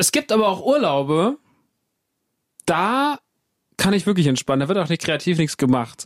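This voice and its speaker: A man with a Baden accent and a high voice, dry and close with no echo, at a moderate pace with very wide pitch swings, very even loudness, and long, frequent pauses. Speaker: podcast host. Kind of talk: casual chat.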